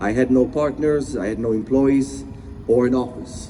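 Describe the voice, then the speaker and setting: A man speaks at a medium pitch in a non-native accent. His pitch varies in an ordinary way over noticeable background noise. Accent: foreign. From abroad, immigrated as teenager. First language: not English. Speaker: motivational speaker, business owner. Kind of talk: motivational speech.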